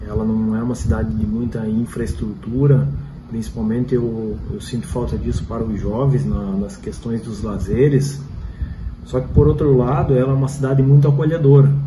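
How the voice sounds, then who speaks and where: Against noticeable background noise and audible room echo, a man talks at a moderate pace and medium pitch with lively intonation. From Paraná, Brazil (Paranaguá). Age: 40s. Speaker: local resident interviewee. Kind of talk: interview testimony.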